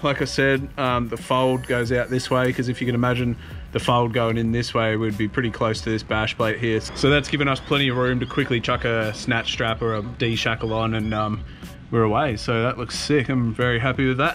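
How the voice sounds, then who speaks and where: A man talks fairly quickly against light background noise. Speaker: off-road vehicle vlogger. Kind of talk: casual vlog chat. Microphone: phone near.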